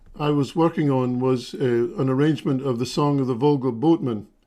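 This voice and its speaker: Fairly high-pitched male voice with a dark, mellow tone. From Scotland. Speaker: fiddler and violinist. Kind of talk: casual chat. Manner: halting, many fillers.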